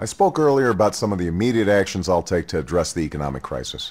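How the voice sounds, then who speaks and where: Over a silent background in a very clean recording, a man talks at a very fast pace with vocal fry and very wide pitch swings. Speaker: presidential candidate. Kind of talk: political campaign address.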